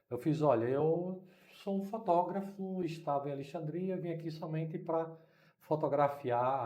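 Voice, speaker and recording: Amid audible room echo, a man with a dark, mellow tone speaks at a moderate pace and a fairly high pitch, with ordinary pitch variation. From Brazil, Recife (Pernambuco). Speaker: missionary. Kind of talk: interview storytelling.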